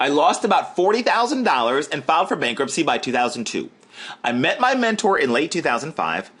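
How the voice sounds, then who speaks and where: A man's animated, high-pitched voice at a fairly quick pace, with very wide pitch swings. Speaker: online marketer. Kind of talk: webinar sales pitch. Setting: live webinar. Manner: fast.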